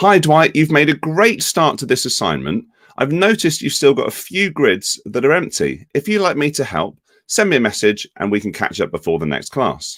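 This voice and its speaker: The speaker is a man with a British accent. He keeps a moderate pace. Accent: UK. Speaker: education technology executive. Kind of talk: software demonstration webinar.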